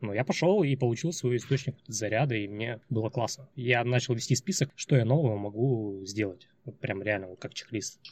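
Delivered at a fairly quick pace, the speech sounds somewhat breathy. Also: man, medium pitch for a man, ordinary pitch variation. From Chelyabinsk, Russia. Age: 30s. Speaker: guest, former programmer and marketer studying neurophysiology. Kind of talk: casual interview chat.

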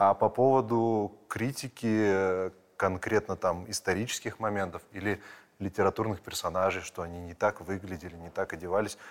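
In a normal speaking voice, a man with fairly low pitch and fairly even intonation talks at a moderate pace on a very clean recording with a silent background. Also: big swings in loudness. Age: 30s. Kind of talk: casual interview.

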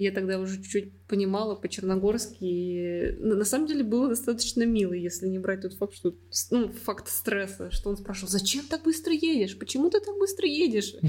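A woman's somewhat breathy voice at medium pitch, with lively intonation and a moderate pace. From Russia, Ufa. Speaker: design engineer. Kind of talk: casual chat.

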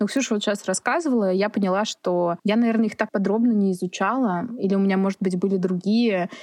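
A woman at medium pitch, talking very fast with hardly any pauses and very even loudness, in a dry, close sound with no echo over a quiet background. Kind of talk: casual chat. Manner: halting.

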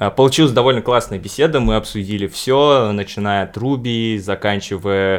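A man speaks at a fairly slow pace in a fairly low pitch, with ordinary pitch variation. The recording is very clean, with a silent background. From Uzbekistan. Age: 20s. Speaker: podcast host. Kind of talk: casual interview; show introduction. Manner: hesitant, with fillers.

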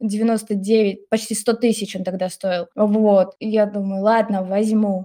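A woman speaks very slowly at a medium pitch, with hardly any pauses. Her tone is dark and mellow, and her intonation is monotone and flat. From Russia, Samara region. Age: 20s. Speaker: former teacher, online school technical specialist. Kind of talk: casual chat.

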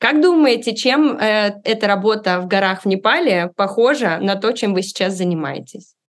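In an ordinary speaking voice, a woman talks at a moderate pace with lively intonation and hardly any pauses. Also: medium pitch for a woman. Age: 30s. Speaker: podcast host. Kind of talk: scripted narration; interview.

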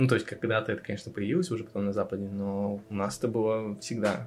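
Using a normal speaking voice, a man talks at a fairly quick pace. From Russian Far East, Vladivostok. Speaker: designer. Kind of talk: casual chat.

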